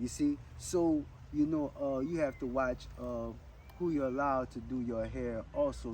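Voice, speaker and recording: This man speaks with a Jamaican accent. His pace is fairly slow. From Louisiana Creole area, US. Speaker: rastafarian with freeform locks. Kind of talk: interview. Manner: hesitant, many fillers.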